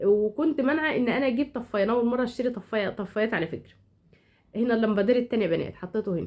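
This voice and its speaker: A woman at a fairly high pitch and a very fast pace. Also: ordinary pitch variation. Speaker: home decor vlogger. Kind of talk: casual vlog narration. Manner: halting, many restarts.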